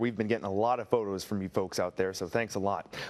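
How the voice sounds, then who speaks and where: A man talks at a very fast pace. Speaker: TV news anchor. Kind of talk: TV news anchoring.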